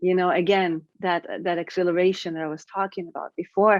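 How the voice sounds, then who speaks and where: At a fairly quick pace, a woman speaks in a medium pitch. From Israel. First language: Hebrew. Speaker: writer. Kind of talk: interview. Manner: halting, many fillers.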